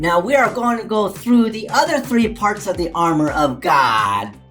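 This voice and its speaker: Clear music plays behind a man doing a high-pitched, cartoonish character voice. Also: moderate pace. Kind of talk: children's puppet show Bible lesson. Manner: enthusiastic.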